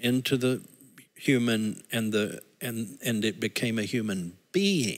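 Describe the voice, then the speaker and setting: A man talks at a fairly slow pace. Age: 60s. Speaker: senior pastor. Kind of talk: casual conversation. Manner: halting.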